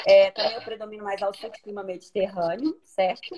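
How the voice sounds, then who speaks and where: Lively intonation marks this woman's fairly high pitch. She has an unremarkable speaking voice. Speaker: live stream host, lawyer. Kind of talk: live stream interview.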